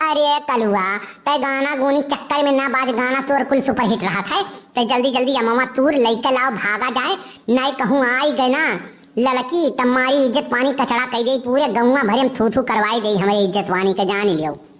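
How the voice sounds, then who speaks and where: A woman puts on a cartoonish character voice at a high pitch, speaking at a moderate pace with ordinary pitch variation and very even loudness. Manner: loud, abusive, quarrelsome.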